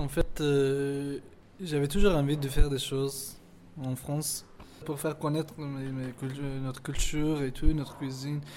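In an Afghan accent, a man speaks at a fairly high pitch and a fairly slow pace with monotone, flat intonation. His loudness swings widely. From Afghanistan (Hazara), schooled in Pakistan. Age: 20s. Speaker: cook and refugee. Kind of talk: interview testimony. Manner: halting.

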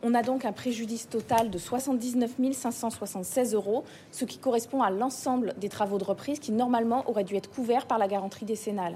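Her intonation fairly even, a woman speaks at a moderate pace with hardly any pauses. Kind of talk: courtroom plea by a civil-party lawyer, formal oratory. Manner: formal, measured, argumentative.

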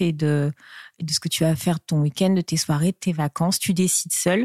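Fairly low in pitch, a woman's dark, mellow tone comes through a dry, close sound with no echo. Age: 40s. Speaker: divorced mother of three. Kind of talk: interview testimony. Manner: halting, frequent hesitations.

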